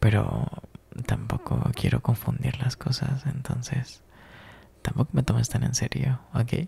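A man's whispered, put-on character voice, husky with a rough edge and vocal fry, at a fairly slow pace

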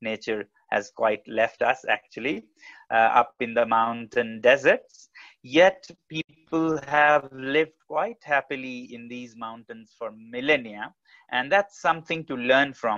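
Against a quiet background, a man talks at a fairly slow pace in a bright, sharp tone, with ordinary pitch variation and big swings in loudness. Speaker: guest. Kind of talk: talk to an online audience. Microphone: earbuds.

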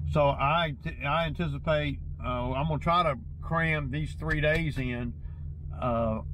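A man's voice comes through with a dry sound and no echo, over noticeable background noise. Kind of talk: casual vlog chat. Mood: mildly frustrated. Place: car.

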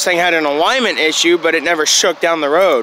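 Light background noise is present. The sound is dry with no echo. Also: man. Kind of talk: casual vlog chat. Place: street. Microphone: phone near.

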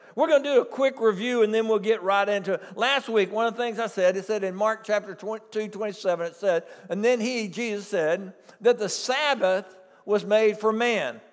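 A man's high-pitched voice over a quiet background. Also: ordinary pitch variation, moderate pace. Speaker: preacher. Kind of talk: sermon. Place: church.

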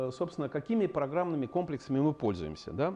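A man's lively intonation over light background noise. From Russia. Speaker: engineering scientist and company head; invited lecturer. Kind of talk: lecture. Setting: university seminar with slides. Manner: halting, many filler sounds. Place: meeting room.

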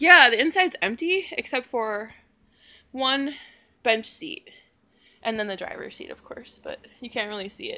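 With a raised, projected voice, a woman speaks at a fairly slow pace against light background noise. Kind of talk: casual vlog chat. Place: garage. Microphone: phone near.

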